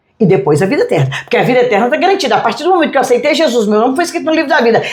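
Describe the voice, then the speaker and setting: A woman's high-pitched voice swings very widely in pitch, with audible room echo around it. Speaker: pastor. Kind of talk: interview. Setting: restaurant.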